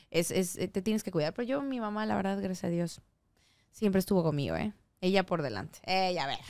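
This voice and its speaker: The voice is animated, moving at a fairly quick pace with ordinary pitch variation. The recording is very clean, with a silent background. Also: woman, medium pitch for a woman. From Yucatán, Mexico (Mérida). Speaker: singer, actress and voice actress. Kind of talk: casual chat.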